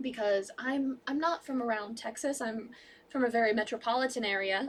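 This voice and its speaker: With a Midwestern accent, a woman talks at a high pitch with ordinary pitch variation. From Chicago, US Midwest. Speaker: college radio host. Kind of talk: casual chat. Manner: fast.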